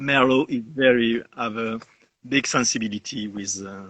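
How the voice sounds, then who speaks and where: This bright, sharp voice carries a French accent and fairly even intonation. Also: man. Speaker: winegrower. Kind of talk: interview. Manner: halting.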